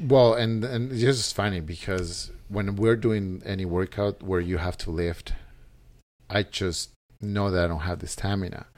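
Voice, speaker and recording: A man speaks with a Spanish accent at a moderate pace and a fairly low pitch, with ordinary pitch variation. The recording is very clean, with a silent background. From El Salvador. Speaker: gym member. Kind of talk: casual interview.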